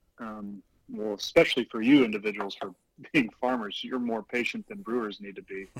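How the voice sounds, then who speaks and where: In a plain, everyday voice with an American accent, a man talks at a fairly quick pace, his medium pitch showing ordinary variation, in a dry, close sound with no echo. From Houston, Texas, US. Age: 30s. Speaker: brewer. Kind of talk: casual chat.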